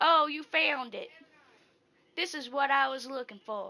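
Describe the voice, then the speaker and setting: A woman puts on a character voice, high in pitch. She keeps a moderate pace with big swings in loudness. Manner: put-on character voice.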